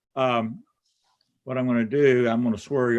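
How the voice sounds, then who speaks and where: A man speaks at a medium pitch. He has a Kentucky accent. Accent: Kentucky Southern. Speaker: state supreme court justice. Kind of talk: swearing-in ceremony remarks. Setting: city council meeting, live streamed. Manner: slow.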